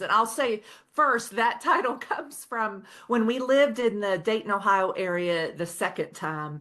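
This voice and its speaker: A woman with a slight Oklahoma accent speaks at a moderate pace in a fairly high, bright, sharp tone with lively intonation. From Oklahoma, Osage County. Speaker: author. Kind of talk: podcast interview.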